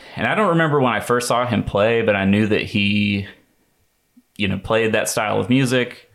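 A man speaks at a moderate pace with medium pitch and ordinary variation. The recording is very clean, with a silent background. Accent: American. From US South, North Carolina (Rockingham County). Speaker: jazz guitarist and bandleader. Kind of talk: interview. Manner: hesitant, many fillers.

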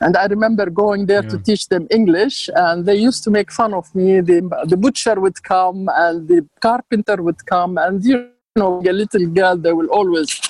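With an Arabic accent, a woman speaks at medium pitch and a moderate pace. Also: ordinary pitch variation. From Jordan (Amman), Palestinian family. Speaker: author and architect. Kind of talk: casual interview. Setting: video call.

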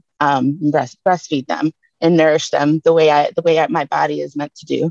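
In a Detroit accent, a woman with a fairly low pitch speaks at a fairly slow pace, the sound dry and close with no echo. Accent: Detroit (Inland North) American. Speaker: community seed keeper and educator. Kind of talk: panel discussion.

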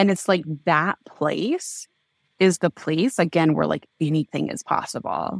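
With an American accent and vocal fry, the voice comes through in a very clean recording with a silent background, dry and close with no echo. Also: woman, fairly low pitch for a woman, ordinary pitch variation. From US Midwest (southwestern Kansas, small town). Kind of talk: casual interview conversation. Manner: animated.

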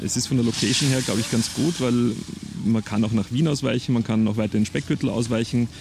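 With noticeable background noise behind him, a man talks at a medium pitch and with fairly even intonation. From Lower Austria, Perchtoldsdorf south of Vienna. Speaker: crime novelist. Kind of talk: casual interview chat.

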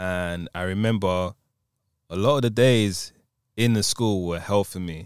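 A man with a London accent speaks in a very deep, low pitch with ordinary pitch variation, at a fairly slow pace with long, frequent pauses. The recording is very clean with a silent background and a dry, close sound with no echo. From London, England. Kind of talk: casual chat.

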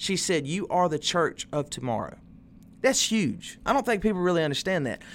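The recording is very clean, with a silent background. A man speaks at a moderate pace in a high voice. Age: 20s. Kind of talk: casual chat. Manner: animated.

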